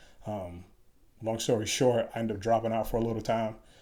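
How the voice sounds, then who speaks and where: An American accent from a man speaking at a fairly quick pace. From Chicago, South Side. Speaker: Special Forces soldier. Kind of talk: interview.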